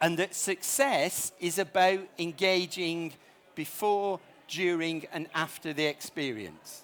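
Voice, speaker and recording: A man with a northern English accent talks at a very slow pace. His pitch is high, with ordinary variation. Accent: northern English, noticeable. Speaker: startup founder presenting at conference. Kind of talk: conference presentation.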